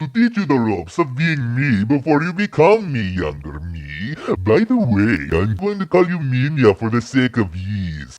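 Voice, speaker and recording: Using a cartoonish character voice, a man at medium pitch speaks at a moderate pace with very wide pitch swings and hardly any pauses. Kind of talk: comic parody.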